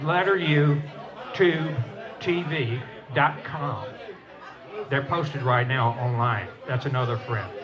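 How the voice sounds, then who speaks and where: Over crowd noise and audible room echo, a man with a Southern US accent speaks at a very slow pace with long, frequent pauses. His pitch is fairly high, with ordinary variation. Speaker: storyteller and former Air Force pilot. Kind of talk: stage talk to audience. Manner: conversational, folksy.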